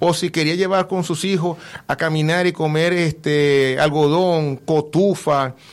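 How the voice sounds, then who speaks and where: Speaking with fairly even intonation, a man has an unremarkable speaking voice pitched fairly high. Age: 50s. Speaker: event organizer. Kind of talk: radio interview. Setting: radio studio.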